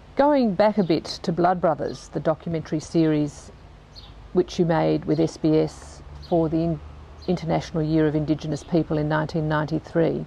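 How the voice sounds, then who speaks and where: Over light background noise, a woman speaks at a fairly quick pace in a dry sound with no echo. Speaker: interviewer. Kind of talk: interview question. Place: garden.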